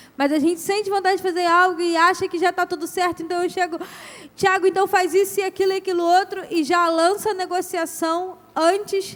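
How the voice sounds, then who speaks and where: Her pitch is extremely high for a woman. She keeps a moderate pace and fairly even intonation. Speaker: couples ministry speaker. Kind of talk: talk to couples.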